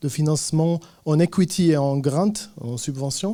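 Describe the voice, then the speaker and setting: With a slight Lebanese accent, a man talks at a fairly slow pace in a dark, mellow tone, his fairly high pitch showing ordinary variation. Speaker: tech startup founder. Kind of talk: conference talk. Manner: hesitant, many fillers.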